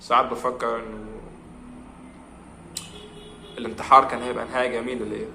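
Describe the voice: At a very fast pace, a man speaks at medium pitch with little pitch movement, a bright, sharp tone and vocal fry, with audible room echo in the room.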